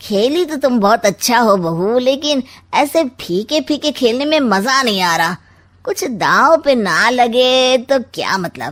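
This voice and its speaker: This is a put-on character voice with lively intonation. It moves at a fairly slow pace. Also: woman, high pitch for a woman. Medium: read story. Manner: sly, mocking, wisecracking.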